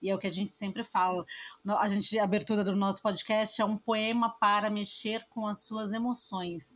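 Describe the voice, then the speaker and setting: A woman speaks at a medium pitch and a moderate pace, her voice somewhat breathy. Her intonation stays monotone and flat. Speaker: podcast host. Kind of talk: casual chat.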